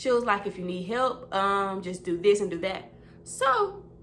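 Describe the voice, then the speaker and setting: A woman's lively intonation comes through audible room echo and noticeable background noise. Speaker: vlogger and customer service representative. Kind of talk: casual chat. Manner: animated.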